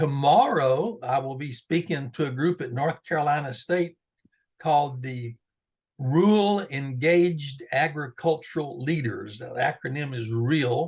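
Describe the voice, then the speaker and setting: In a Texas accent, a somewhat breathy man at a fairly high pitch talks at a fairly slow pace, with big swings in loudness and ordinary pitch variation. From Central Texas Hill Country. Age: 70s. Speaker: retired agricultural education professor. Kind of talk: interview.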